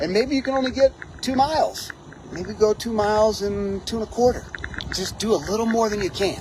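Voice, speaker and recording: At a fairly quick pace and with ordinary pitch variation, the voice comes through noticeable background noise. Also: man, high pitch for a man. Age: 40s. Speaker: hiking vlogger. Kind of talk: motivational talk to camera. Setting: outdoors on a mountain trail. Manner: halting.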